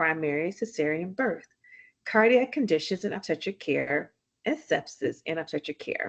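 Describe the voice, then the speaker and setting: A woman talks with a Southern US accent and lively intonation. Her pace is moderate, and the background is quiet. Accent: Southern US twang. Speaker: physician and author. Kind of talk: reading aloud.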